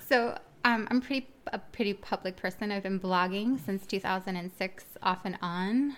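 A woman's medium-pitched, ordinary speaking voice with an American accent, a moderate pace and ordinary pitch variation. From Miami, Florida. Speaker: podcast co-host. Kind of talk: casual chat.

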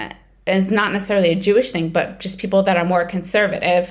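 A woman at medium pitch speaks in a New York accent. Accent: New York American. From US, Brooklyn, New York. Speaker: TV writer and creator. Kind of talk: interview.

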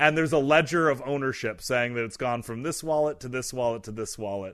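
This man has an ordinary speaking voice, talking at a fairly quick pace with a medium pitch and ordinary pitch variation. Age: 30s. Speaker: tech executive and former creator. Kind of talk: interview.

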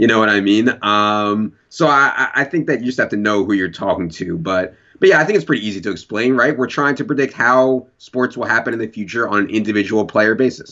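Using a normal speaking voice with an American accent, a man goes at a fairly quick pace with hardly any pauses, medium pitch and ordinary pitch variation. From Virginia. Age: 30s. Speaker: fantasy football analyst. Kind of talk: casual chat.

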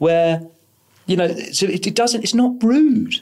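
A man with a British accent at a moderate pace. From Britain. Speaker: podcast host and author. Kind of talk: interview. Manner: animated.

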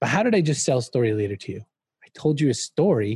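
The voice has a dark, mellow tone, somewhat breathy, with lively intonation. The sound is dry and close with no echo, over a quiet background. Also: man. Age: 50s. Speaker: author and marketing speaker. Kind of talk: interview conversation.

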